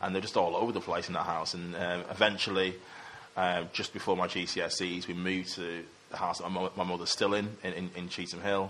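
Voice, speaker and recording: In a Mancunian accent, a man with a very deep, low voice talks at a fairly quick pace with monotone, flat intonation. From Manchester, England. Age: 30s. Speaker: investment consultant. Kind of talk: casual interview.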